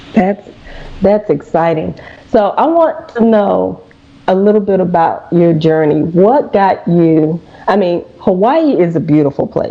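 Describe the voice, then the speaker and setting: A woman with a Southern US accent and a medium pitch speaks fairly slowly with lively intonation and very even loudness over noticeable background noise. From US South. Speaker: radio host. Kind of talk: interview.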